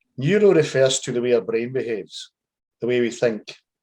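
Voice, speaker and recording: With a Scottish accent, a man talks at a fairly quick pace. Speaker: life coach. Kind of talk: casual explanatory chat.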